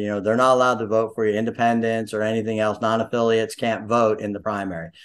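A man at a medium pitch. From central Pennsylvania. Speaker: local election candidate. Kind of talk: interview. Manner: halting, many fillers.

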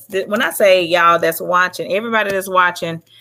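A woman with an American accent speaks at a medium pitch in a bright, sharp tone, on a very clean recording with a silent background. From Dallas, Texas. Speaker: actress and business owner. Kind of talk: interview.

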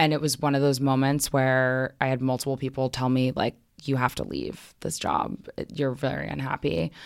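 A woman's very deep, low-pitched voice with an American accent and fairly even intonation, hardly any pauses, in a very clean recording with a silent background. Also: moderate pace. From New York City (Manhattan). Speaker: marketing director. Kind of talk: interview conversation; personal essay reading.

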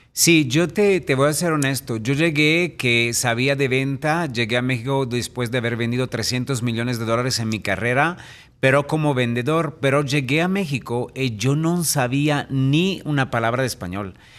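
With hardly any pauses, a man speaks at medium pitch and ordinary pitch variation against a quiet background. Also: moderate pace. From Italy. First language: Italian (speaking Spanish). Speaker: real estate entrepreneur and speaker. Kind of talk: interview. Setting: radio studio.

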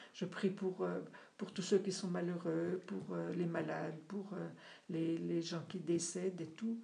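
Very slow, flat monotone delivery with vocal fry and long, frequent pauses. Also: woman. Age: 70s. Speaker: parishioner. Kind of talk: casual chat. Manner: halting.

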